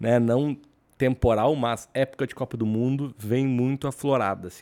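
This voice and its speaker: A man delivers his words at an even, middling speed. The recording is very clean, and the background is silent. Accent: gaúcho. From Rio Grande do Sul, southern Brazil. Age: 40s. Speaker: podcast co-host. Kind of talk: casual chat. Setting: studio.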